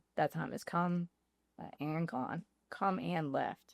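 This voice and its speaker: With a Louisiana accent, a woman speaks in a fairly low voice with an animated tone and lively intonation, in a very clean recording with a silent background and a dry, close sound with no echo. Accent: Southern US, Louisiana. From Louisiana, small town near Baton Rouge. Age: 20s. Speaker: podcast guest, former freight broker. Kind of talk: casual chat.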